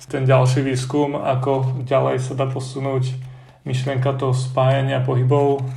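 Room echo is audible, and background noise is noticeable. Through it, a man speaks at a moderate speed. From central Slovakia, between Lučenec and Detva. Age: 20s. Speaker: art student. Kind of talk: interview.

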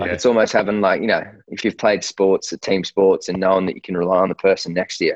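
In a very deep, low pitch, a man with an Australian accent speaks at a very fast pace with monotone, flat intonation and a dry, close sound with no echo. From Australia, Sydney. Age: 30s. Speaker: sportswear founder and fighter manager. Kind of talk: casual interview chat. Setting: remote call. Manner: halting, many fillers.

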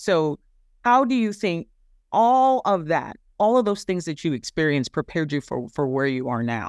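On a very clean recording with a silent background, an American man speaks at a moderate pace. His pitch is high and swings very widely. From USA. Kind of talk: interview.

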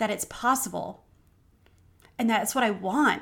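A woman with a plain, everyday voice, fairly high in pitch, with ordinary pitch variation and a moderate pace. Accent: American. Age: 40s. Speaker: podcast host. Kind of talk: faith-based motivational monologue.

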